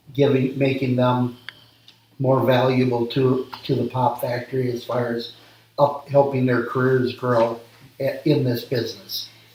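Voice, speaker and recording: Over noticeable background noise, a man with an American accent speaks at a fairly slow pace, his medium-pitched voice monotone and flat. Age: 60s. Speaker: small business owner. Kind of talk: interview. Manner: halting, frequent ums.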